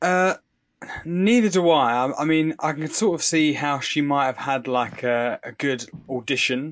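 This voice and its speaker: Over a quiet background, a man with a fairly high pitch and ordinary pitch variation talks at a fairly slow pace. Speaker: podcast co-host. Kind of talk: casual chat.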